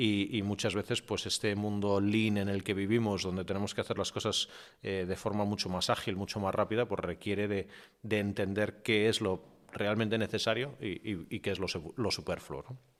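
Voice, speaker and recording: The recording is very clean with a silent background, and a man with a fairly low pitch speaks at a moderate pace in monotone, flat intonation. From half English, born in UK, mother English. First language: English (speaking Spanish). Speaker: media executive and digital transformation consultant. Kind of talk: podcast interview. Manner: hesitant with many fillers and repetitions.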